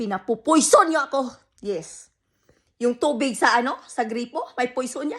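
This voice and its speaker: A woman's high-pitched voice, fairly slow in pace, with lively intonation. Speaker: vlogger. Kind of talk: angry rant to camera. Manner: loud, shouting.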